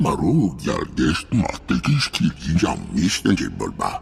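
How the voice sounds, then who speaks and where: A growling, put-on character voice from a man, fairly slow, over clear background noise. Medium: video game. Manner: speaks in a foreign alien language.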